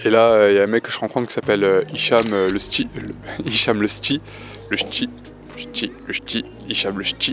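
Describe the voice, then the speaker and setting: A man talks at a moderate pace with long, frequent pauses while music plays in the background. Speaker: amateur stand-up comedian. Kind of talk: vlog. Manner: hesitant, many fillers; speaking softly.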